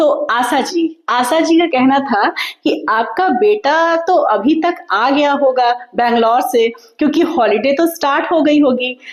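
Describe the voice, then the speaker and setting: A woman speaks with a high pitch, lively intonation and very even loudness, with noticeable background noise. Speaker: vlogger. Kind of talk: casual vlog talk to viewers. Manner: loud, energetic even when tired; talkative, flowing.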